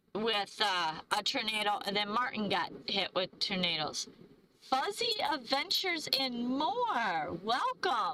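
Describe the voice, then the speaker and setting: Over noticeable background noise, a woman speaks very slowly in a fairly high voice, her pitch swinging very widely while her loudness stays very even. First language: not English. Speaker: van-life travel vlogger. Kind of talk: live stream chat. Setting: live stream. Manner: halting, stumbling over words.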